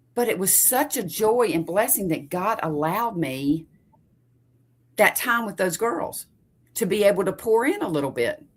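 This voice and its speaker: Loud and at a moderate pace, a woman at medium pitch speaks with very wide pitch swings and long, frequent pauses. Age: middle-aged. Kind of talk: casual faith conversation.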